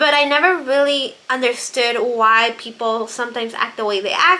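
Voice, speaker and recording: In a Spanish accent, a woman with a high pitch speaks in a raised, projected voice. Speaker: book vlogger. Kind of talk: casual monologue about books.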